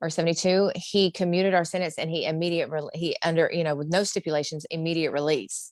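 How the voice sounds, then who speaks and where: A woman with an Alabama accent speaks at a fairly low pitch with monotone, flat intonation. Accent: Southern US (Alabama). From US South, Alabama. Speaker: former prisoner, clemency recipient. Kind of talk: interview.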